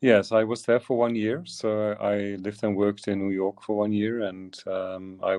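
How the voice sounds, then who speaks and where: A man with a Dutch accent speaks at a fairly slow pace in a fairly low pitch. His intonation is monotone and flat, and the background is quiet. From Flanders, Belgium (Turnhout). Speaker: visual artist. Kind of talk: interview. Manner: halting, many fillers.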